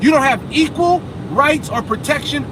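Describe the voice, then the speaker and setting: The speaker is loud and animated in tone at a moderate pace, with noticeable background noise behind. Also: man. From USA. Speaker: vlogger. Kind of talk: casual vlog rant while driving. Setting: in a car.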